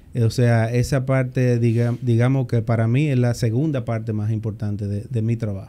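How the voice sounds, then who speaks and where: A man's dark, mellow tone stays flat and monotone at a moderate pace. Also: medium pitch for a man. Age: 40s. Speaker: government minister. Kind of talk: interview. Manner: halting, many fillers and repetitions.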